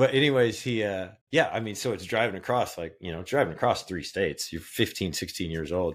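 A man with an American accent, fairly low pitch and a plain, everyday voice, with hardly any pauses. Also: lively intonation. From Kansas. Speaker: podcast cohost. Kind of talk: casual chat.

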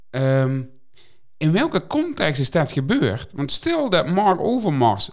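A man's voice at a fairly high pitch. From Netherlands. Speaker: podcast co-host. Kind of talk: casual chat.

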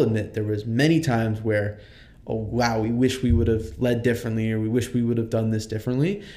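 The voice has a dark, mellow tone and fairly even intonation, moving at a fairly quick pace with audible room echo. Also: man. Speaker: student leader. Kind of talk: interview.

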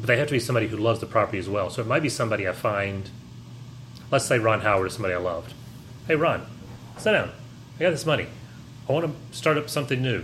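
Amid audible room echo, the delivery runs very fast with ordinary pitch variation, yet breaks into long, frequent pauses. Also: man, medium pitch for a man. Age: 40s. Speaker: podcast co-host. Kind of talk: casual chat.

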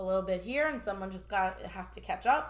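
Audible room echo and noticeable background noise accompany a woman who speaks at a fairly quick clip. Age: 30s. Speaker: mental health professional. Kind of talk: casual chat.

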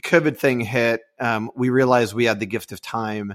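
On a very clean recording with a silent background and a dry, close sound with no echo, a man with an American accent speaks in a plain, everyday voice at medium pitch and a moderate pace. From Houston, Texas. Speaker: podcast co-host. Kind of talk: casual interview chat.

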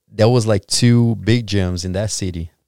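On a very clean recording with a silent background, a man with a Brazilian accent speaks at a fairly slow pace with fairly even intonation. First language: Portuguese. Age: 30s. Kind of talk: casual interview chat. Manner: halting, searching for words.

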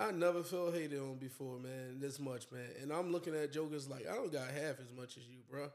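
Speaking at a fairly quick pace with hardly any pauses, a man with a fairly high pitch uses ordinary pitch variation and big swings in loudness. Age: 40s. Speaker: podcast host, relationship coach and author. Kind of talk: casual chat. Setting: studio. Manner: animated.

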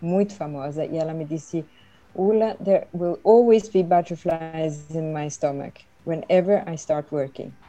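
This woman speaks at a fairly slow pace. Her pitch is very deep and low. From Sweden, raised in Brazil from age 10. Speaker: retired conference interpreter. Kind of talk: interview.

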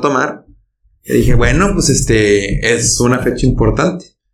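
A man with a Mexican accent talks at a moderate pace in a medium pitch, with vocal fry. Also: very even loudness. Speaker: podcast host. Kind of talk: casual chat.

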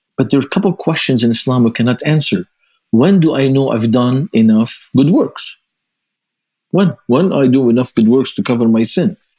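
Dark and mellow in tone, a man's medium-pitched voice carries lively intonation. His loudness stays very even at a moderate pace. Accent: Lebanese. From Lebanon. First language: Arabic. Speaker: ministry founder and author. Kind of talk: interview.

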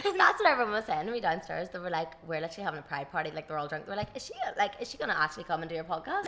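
Over noticeable background noise, a speaker with a Tyrone accent talks at a very fast pace with hardly any pauses and ordinary pitch variation. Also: woman, fairly low pitch for a woman. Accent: Northern Irish, rural Tyrone. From Dungannon, Northern Ireland. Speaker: podcast host. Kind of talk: casual chat, interview. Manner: chatty, laughs often.

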